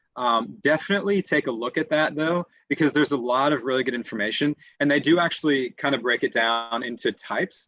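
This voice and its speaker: A man with an American accent talks at a very fast pace in a fairly high pitch. His pitch variation is ordinary and his loudness very even. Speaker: English tutor. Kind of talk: webinar Q&A. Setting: online webinar. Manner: hesitant, many fillers and repetitions.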